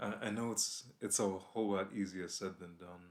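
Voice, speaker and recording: Very deep and low, a man's voice moves at a very slow pace in a monotone, flat intonation. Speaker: vlogger. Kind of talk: advice vlog. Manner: blunt, can sound upset.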